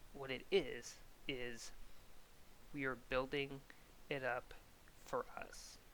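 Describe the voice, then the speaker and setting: Someone with an American accent speaks at a very slow pace, leaving long, frequent pauses. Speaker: soccer YouTuber. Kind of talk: reaction video and rant. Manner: animated.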